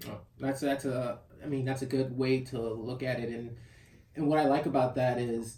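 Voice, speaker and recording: Here a man talks at a moderate pace in a medium pitch, with monotone, flat intonation. His tone is dark and mellow, and somewhat breathy. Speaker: podcast host. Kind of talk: casual interview. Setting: studio.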